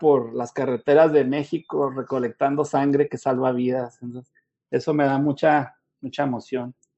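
Using an ordinary speaking voice, a man talks fairly slowly at a fairly high pitch with fairly even intonation. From northern Mexico (Chihuahua). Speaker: blood donor recruitment manager. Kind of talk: online talk / interview.

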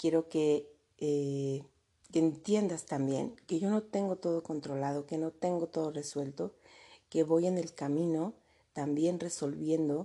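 A woman's fairly low-pitched voice, dark and mellow in tone, at a fairly slow pace. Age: 40s. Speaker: podcast host, mentor for women and mothers. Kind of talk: motivational monologue.

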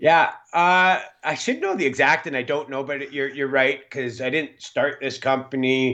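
A man with a western Canadian accent speaks at a fairly high pitch. His intonation is fairly even, over a quiet background. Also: moderate pace. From western Canada. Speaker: mining company executive. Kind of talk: interview.

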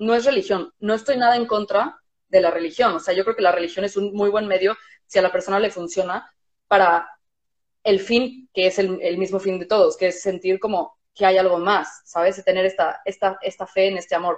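At a moderate pace, a woman with a plain, everyday voice speaks with fairly even intonation. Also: medium pitch for a woman. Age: 30s. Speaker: music therapist. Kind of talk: casual chat.

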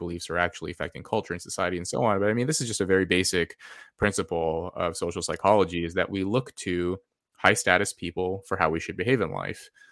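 A man with a Californian accent talks at a very fast pace in a fairly low voice. The recording is very clean with a silent background. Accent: Californian American. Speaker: social psychologist and air force veteran. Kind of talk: podcast interview. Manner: halting, many fillers and repetitions.

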